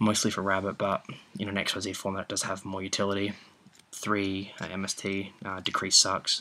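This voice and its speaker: A man talks at a fairly quick pace. His intonation stays monotone and flat. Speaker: card game player. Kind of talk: casual deck profile talk. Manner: casual, hesitant with fillers.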